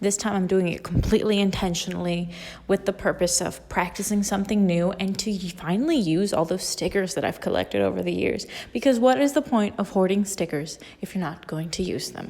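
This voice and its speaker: At a fairly quick pace, a woman uses a normal speaking voice with medium pitch and ordinary pitch variation. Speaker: artist and art student. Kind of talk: voiceover narration.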